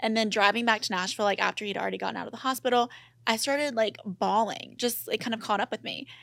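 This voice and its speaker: Speaking at a very fast pace with vocal fry, this voice has an American accent and fairly even intonation. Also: woman, fairly high pitch for a woman. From US South, Mississippi. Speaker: podcaster. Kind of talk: casual chat.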